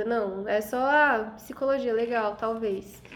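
Her pitch moves in an ordinary way. Clear background noise sits under this woman's speech. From Rondônia, Brazil. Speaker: podcast host. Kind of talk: casual chat.

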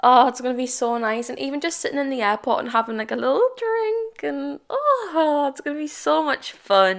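With a British accent, the speaker sounds animated and keeps a moderate pace. There are hardly any pauses. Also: woman. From England. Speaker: podcast host. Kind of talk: casual solo chat. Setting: home, solo recording. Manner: chatty, animated.

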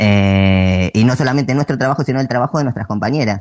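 At a moderate pace and with lively intonation, a plain, everyday voice comes through in a dry, close sound with no echo. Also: man. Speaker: theatre producer. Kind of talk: interview.

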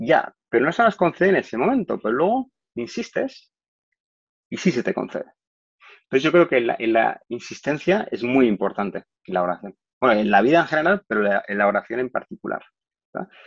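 Speech at a fairly quick pace swings very widely in pitch, with a dry, close sound and no echo. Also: man, medium pitch for a man. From Spain, Barcelona. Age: 40s. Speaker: corporate trainer. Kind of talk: testimony. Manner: halting, frequent fillers and repeated words.

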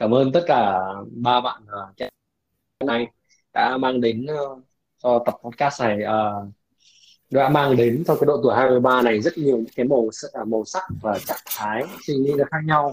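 Using a medium pitch with ordinary pitch variation, a man speaks at a fairly slow pace with long, frequent pauses and big swings in loudness. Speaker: podcast host. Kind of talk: casual chat.

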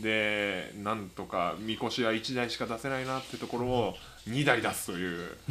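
A normal speaking voice, a man's, medium-pitched, moderate in pace, with fairly even intonation. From Tokyo, Japan. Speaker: podcast co-host. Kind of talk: casual chat.

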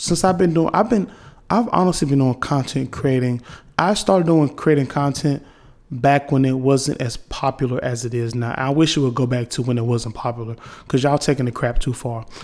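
The speaker is a man with a fairly high pitch and ordinary pitch variation. He talks at a fairly quick pace. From North Carolina (Wilson). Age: 20s. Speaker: podcast host. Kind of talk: casual monologue. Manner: halting, many fillers.

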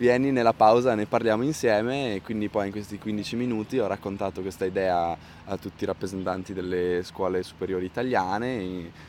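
A man's fairly low voice at a fairly quick pace with ordinary pitch variation. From Bolzano, South Tyrol, Italy. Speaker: climate activist and musician. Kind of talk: interview. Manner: halting.

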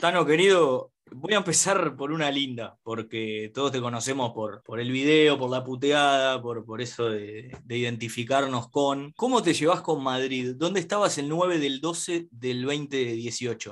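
A man has an unremarkable speaking voice at medium pitch with ordinary pitch variation. He talks at a fairly slow pace with hardly any pauses. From Uruguay. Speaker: podcast host. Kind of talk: casual chat.

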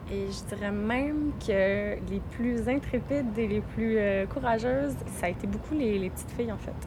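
A woman at a fairly slow pace, with audible room echo and music in the background. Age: 30s. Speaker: wild plant workshop leader and lawyer. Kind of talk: interview conversation. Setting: outdoors. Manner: halting.

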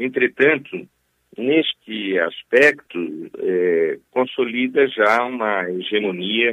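Speaking very slowly, a man uses a medium pitch and lively intonation. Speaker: politician, gubernatorial candidate. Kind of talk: radio interview. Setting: phone call while travelling. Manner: hesitant, many filler sounds. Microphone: mobile phone line.

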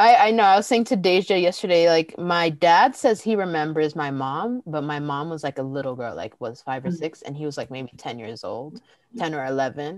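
A woman's fairly low voice in a Californian accent, moderate in pace with hardly any pauses, very wide pitch swings and big swings in loudness. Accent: Californian American. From Pasadena, Los Angeles. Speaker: podcast co-host. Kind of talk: casual chat.

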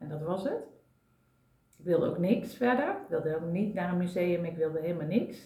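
Clear room echo and noticeable background noise accompany a woman at a medium pitch. Her intonation is lively and her pace moderate. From Brabant, Netherlands. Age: 40s. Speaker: systemic coach and therapist. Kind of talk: casual chat. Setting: at a kitchen table.

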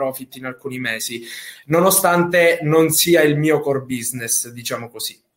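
This is a man with a normal speaking voice and a fairly high pitch. His pitch varies in an ordinary way. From Sicily. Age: 20s. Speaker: affiliate marketer. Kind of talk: interview. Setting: live video stream.

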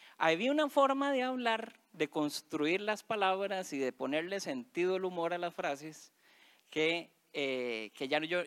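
A man's high voice swings very widely in pitch, heard in a dry, close sound with no echo. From Costa Rica, Alajuela. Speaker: teacher reading stories aloud.

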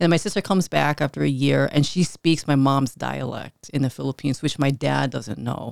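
In an American accent, a woman talks at a fairly quick pace with hardly any pauses, in a dry, close sound with no echo, on a very clean recording with a silent background. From Chicago, north side (Filipino American family). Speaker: life coach and entrepreneur. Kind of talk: casual interview.

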